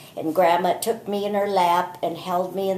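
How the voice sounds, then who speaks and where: Over noticeable background noise, the speaker talks at a moderate pace in a monotone with flat intonation. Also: woman. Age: 70s. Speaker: grandmother sharing memories. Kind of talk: personal reminiscence. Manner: relaxed.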